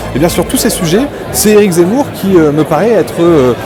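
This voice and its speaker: A high-pitched man with very wide pitch swings, audible room echo and music in the background. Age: 30s. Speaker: political spokesperson. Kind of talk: interview. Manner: hesitant, many filler sounds.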